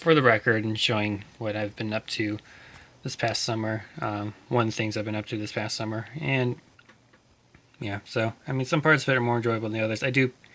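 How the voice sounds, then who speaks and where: A man is talking quietly. His intonation stays fairly even. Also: medium pitch for a man, fairly quick pace. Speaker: car hobbyist doing own repair. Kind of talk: casual vlog narration. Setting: home garage. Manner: monotone; quiet, subdued.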